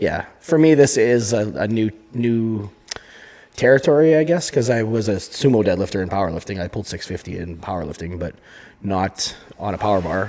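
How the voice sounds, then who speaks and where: This man has a Canadian accent and a fairly low pitch. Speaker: strongman competitor and podcast co-host. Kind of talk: casual chat. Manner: loud. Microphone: volume turned down, too quiet at first.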